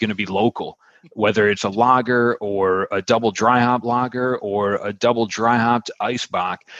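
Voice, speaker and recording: A man with an American accent in a normal speaking voice, medium in pitch, fairly even in intonation, with a dry, close sound and no echo. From Buffalo, New York. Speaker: podcast host and beer-app marketer. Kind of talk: casual chat.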